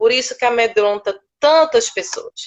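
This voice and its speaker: A woman's high voice in a northeastern Brazilian accent, with ordinary pitch variation and a fairly slow pace. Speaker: speech therapist. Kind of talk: interview. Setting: live stream.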